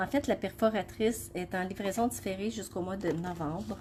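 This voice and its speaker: A woman's medium-pitched, somewhat breathy voice with a Quebec accent, a fairly slow pace and ordinary pitch variation. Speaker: craft demonstrator. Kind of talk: live craft tutorial. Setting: Facebook live stream. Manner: hesitant, many fillers.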